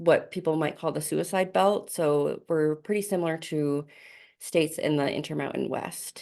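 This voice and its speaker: Against a quiet background, a woman with an American accent speaks in a normal speaking voice, fairly slowly and at a fairly low pitch, with fairly even intonation. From US East Coast. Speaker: suicide prevention presenter. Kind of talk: presentation over video call.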